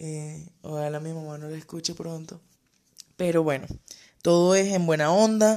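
Her pitch sits fairly low and her intonation stays fairly even. The woman speaks at a fairly slow pace. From Venezuela, Zulia (Cabimas). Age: 30s. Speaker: podcast host. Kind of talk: solo podcast monologue.

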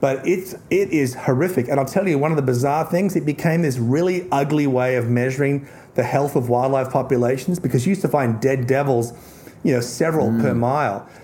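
Noticeable noise is present in the background. The speaker goes fairly quickly, and the pitch varies in an ordinary way. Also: man, fairly high pitch for a man. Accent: Australian. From Tasmania, Australia. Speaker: author and conservationist guest. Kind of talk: casual chat.

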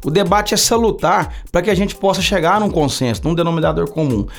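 Vocal fry and very wide swings in pitch from a man with a fairly high voice. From Brazil, Uberlândia, Minas Gerais. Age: 40s. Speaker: city councillor. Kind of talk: podcast interview. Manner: halting, with frequent fillers.

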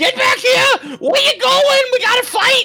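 This is a put-on character voice at a moderate pace. Faint music plays in the background. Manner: manic, shouting.

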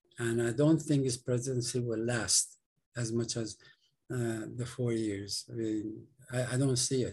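A man talks at a fairly slow pace and a medium pitch. His intonation is monotone and flat, and his voice is somewhat breathy. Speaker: political activist. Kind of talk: moderated interview discussion. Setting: remote call.

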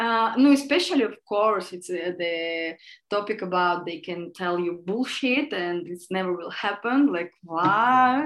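This woman speaks at a medium pitch and a fairly slow pace. Her intonation is lively, with big swings in loudness. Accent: Russian. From Russia. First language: Russian. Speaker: podcast guest. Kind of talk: casual chat.

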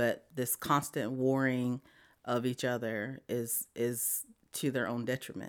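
A woman's very deep, low voice, monotone and flat, at a fairly slow pace in a very clean recording with a silent background. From South Dakota, reservation. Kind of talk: interview.

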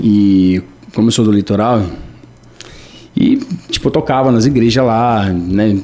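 Fairly low male speech, fairly slow, with ordinary pitch variation. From Brazil, São Paulo north coast (Caraguatatuba). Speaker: musician. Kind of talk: radio interview.

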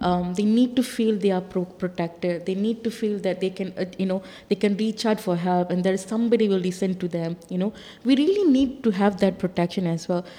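A woman speaks with an ordinary speaking voice at medium pitch, moving at a fairly quick pace with fairly even intonation. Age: 40s. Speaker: freedom of expression advocate. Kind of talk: panel discussion.

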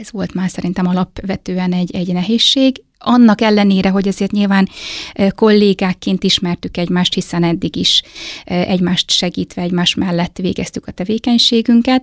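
Dry and close with no echo, a woman's unremarkable speaking voice holds a medium pitch and fairly even intonation at a moderate pace. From eastern Hungary, Hajdúdorog. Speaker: head of a family and child welfare centre. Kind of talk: interview.

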